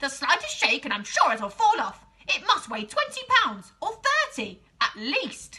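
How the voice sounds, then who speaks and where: Using a put-on character voice, a woman projects loudly at an extremely high pitch and a moderate pace. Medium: read story. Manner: sharp, bossy.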